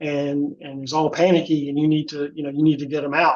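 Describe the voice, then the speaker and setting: This man talks at a fairly high pitch. His pace is moderate. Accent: Southern US. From US South. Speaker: fraud prevention volunteer. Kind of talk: webinar presentation. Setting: online webinar. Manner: casual, repetitive restarts.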